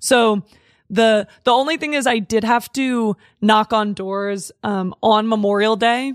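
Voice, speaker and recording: A woman with a plain, everyday voice speaks at a fairly slow pace and a fairly high pitch with ordinary pitch variation, on a very clean recording with a silent background and a dry, close sound without echo. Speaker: comedian. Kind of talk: casual chat. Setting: studio.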